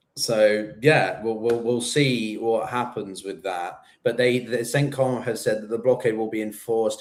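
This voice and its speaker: A man talks in an unremarkable speaking voice. His pitch is medium and his pace moderate. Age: 30s. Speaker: geopolitics channel host. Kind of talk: casual chat.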